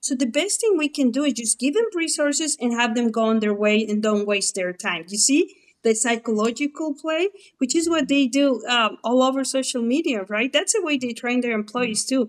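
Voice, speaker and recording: A woman speaks with a Mexican accent at a high pitch. Her intonation is lively and her pace moderate. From Mexico. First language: Spanish. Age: 40s. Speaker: former abortion clinic manager. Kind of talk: interview testimony. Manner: conversational, animated.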